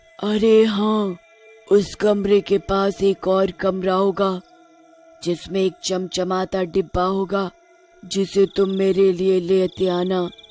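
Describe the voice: Faint music sits in the background as a cartoonish character voice at a middle pitch talks very slowly in a monotone, flat delivery.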